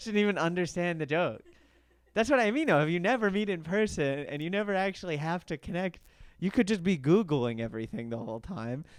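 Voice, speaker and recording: A man talks at a very fast pace in a high voice, his pitch swinging very widely over a quiet background. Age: 20s. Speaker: stand-up comedian, podcast host. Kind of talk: casual comedic podcast chat. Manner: casual, hesitant with filler words.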